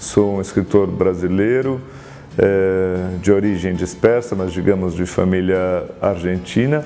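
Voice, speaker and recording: With music in the background and audible room echo, a man talks very slowly at a fairly low pitch with ordinary pitch variation. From Brazil, São Paulo (Argentine family). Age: 30s. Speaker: writer. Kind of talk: self-presentation talk about his work. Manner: reflective, with hesitations.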